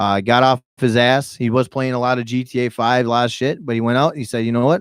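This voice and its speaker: Very fast and animated, a man with a medium-pitched voice is heard in a dry, close sound with no echo on a very clean recording with a silent background. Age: 30s. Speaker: YouTuber and podcast host. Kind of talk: live podcast chat. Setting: studio, live-streamed podcast. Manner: loud.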